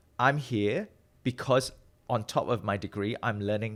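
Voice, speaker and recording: The voice belongs to a man and sits fairly low. Its pitch varies in an ordinary way. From Malaysia. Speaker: metabolic health researcher. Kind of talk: interview.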